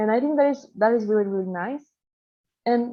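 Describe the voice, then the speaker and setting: A woman speaks with a Spanish accent. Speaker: interviewer. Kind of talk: interview.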